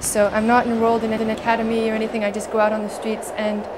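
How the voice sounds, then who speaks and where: Fairly high female speech with a Canadian accent at a fairly quick pace, over noticeable background noise. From Canada. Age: 30s. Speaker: street accordionist. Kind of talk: documentary interview monologue.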